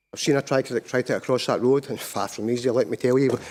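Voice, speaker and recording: A man with a Scottish accent speaks at a very fast pace on a very clean recording with a silent background. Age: 60s. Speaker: petitioner, local resident. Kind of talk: public committee testimony. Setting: council committee meeting. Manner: halting, repeats words.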